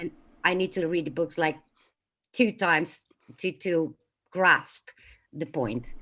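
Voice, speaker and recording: Speaking with a non-native accent, a woman has a fairly low pitch, a bright, sharp tone and ordinary pitch variation. She goes at a fairly slow pace with long, frequent pauses. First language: not English. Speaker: caller. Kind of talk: call-in show discussion.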